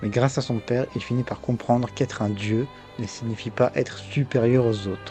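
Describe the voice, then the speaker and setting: A man speaks at a medium pitch with fairly even intonation while music plays in the background. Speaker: video game commentator. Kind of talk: video essay narration. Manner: stuttering.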